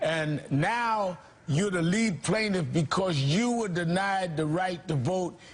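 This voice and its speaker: Noticeable background noise runs behind a man whose high-pitched voice carries lively intonation. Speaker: TV news host. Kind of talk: TV interview question.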